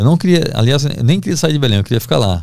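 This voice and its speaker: A man speaks at a fairly quick pace with vocal fry and very wide pitch swings. The background is quiet, and the sound is dry with no echo. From Brazil, Recife (Pernambuco); Pernambuco, Brazil. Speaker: investigative journalist; guest journalist. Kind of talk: podcast interview, storytelling. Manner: casual, halting with repetitions. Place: studio. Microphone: studio mic.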